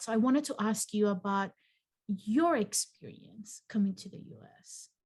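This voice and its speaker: A woman with a slight Mexican accent speaks at a medium pitch and moderate pace. Her voice is somewhat breathy, with big swings in loudness. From Mexico. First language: Spanish. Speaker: psychologist and channel host. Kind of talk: casual interview chat.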